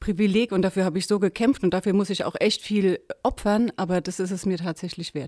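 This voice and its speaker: Recorded very cleanly against a silent background, a woman with a dark, mellow tone speaks at a fairly quick pace. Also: dry, close sound with no echo. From Lower Franconia, Germany (Aschaffenburg area). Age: 40s. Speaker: farmer and local politician. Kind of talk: interview.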